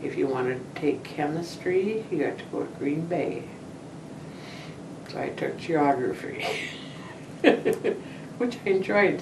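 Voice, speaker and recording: A woman with an American accent speaks at a very slow pace, leaving long, frequent pauses. Her loudness swings widely, and there is noticeable background noise. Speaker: retired teacher. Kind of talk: interview answer.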